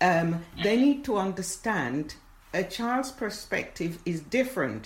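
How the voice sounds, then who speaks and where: Speaking at a very slow pace, a woman with a medium pitch and a somewhat breathy voice uses lively intonation. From rural Jamaica. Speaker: writer. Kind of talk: interview.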